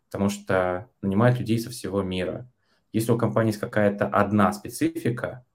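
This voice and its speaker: Fairly low and with fairly even intonation, the man has an unremarkable speaking voice. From Russia, Yaroslavl. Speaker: engineering manager. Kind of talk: casual chat. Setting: video call.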